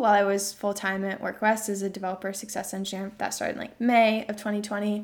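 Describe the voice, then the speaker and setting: A woman's plain, everyday voice at medium pitch, with fairly even intonation. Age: 20s. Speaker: venture capital investor and author. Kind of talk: casual interview chat.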